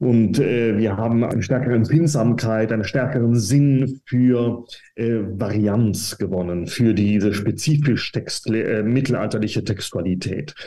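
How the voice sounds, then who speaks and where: Speaking at a fairly slow pace, a man uses a dark, mellow tone at a medium pitch with ordinary pitch variation. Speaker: professor of medieval German studies. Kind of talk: interview. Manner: hesitant, many fillers.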